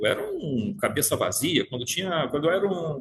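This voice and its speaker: A man at a moderate pace. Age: 60s. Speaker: spiritist study group leader. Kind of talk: study group lecture. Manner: halting, many repetitions.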